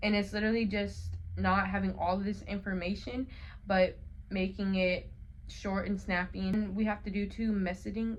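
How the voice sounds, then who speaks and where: With an American accent, a woman talks at a moderate pace in a medium pitch. Her intonation is monotone and flat, and there is audible room echo. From Colorado, US. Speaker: college student vlogger. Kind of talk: casual vlog talk. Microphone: phone mic.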